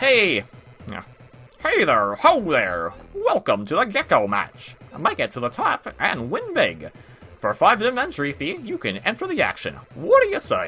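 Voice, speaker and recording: A man performs in a put-on character voice at a moderate pace. Music plays in the background. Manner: cheerful, hyped, calling out.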